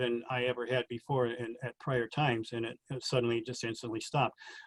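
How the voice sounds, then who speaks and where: This man has an unremarkable speaking voice at a medium pitch, recorded with a dry, close sound and no echo. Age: 60s. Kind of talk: interview about personal experiences.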